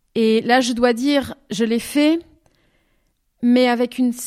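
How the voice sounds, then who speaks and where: This recording is very clean and the background silent. The voice belongs to a woman. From southwestern France, Bordeaux. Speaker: singer-songwriter. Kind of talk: interview. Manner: halting.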